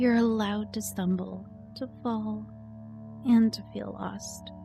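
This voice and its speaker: A woman speaks at a very slow pace with big swings in loudness. Music plays in the background. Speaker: voiceover artist / ASMR encouragement creator. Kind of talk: ASMR affirmation / comforting self-help talk. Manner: soft-spoken, soothing, gentle.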